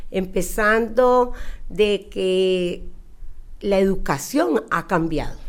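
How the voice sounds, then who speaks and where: Speaking very slowly in a Costa Rican accent, a woman uses ordinary pitch variation. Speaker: Hebrew and preschool teacher. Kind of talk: interview. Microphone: too quiet, far from the mic.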